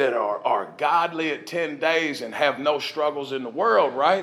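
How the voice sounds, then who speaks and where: Over noticeable background noise, a man with a fairly high voice speaks in an animated tone at a moderate pace. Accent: Southern. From US South, Nashville, Tennessee. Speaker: recovery speaker. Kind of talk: testimony.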